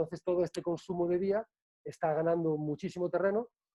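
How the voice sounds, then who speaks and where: Fairly even in intonation, the delivery runs at a fairly quick pace. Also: man. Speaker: bartending trainer. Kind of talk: online presentation. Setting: video call. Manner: fast.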